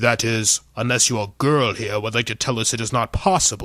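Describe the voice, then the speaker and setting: A put-on character voice at a moderate pace, with fairly even intonation. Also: man, medium pitch for a man. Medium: read story. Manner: indignant, self-important.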